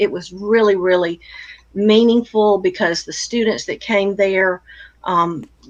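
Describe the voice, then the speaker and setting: In an ordinary speaking voice, a woman with an American accent talks at a fairly slow pace and a fairly high pitch. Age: 60s. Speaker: retired counselor and blogger. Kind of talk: interview conversation.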